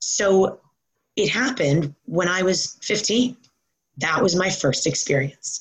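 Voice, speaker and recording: A woman with an American accent speaks very slowly at a medium pitch, her voice somewhat breathy, her intonation lively and her loudness very even. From New York. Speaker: fitness coach. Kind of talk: interview.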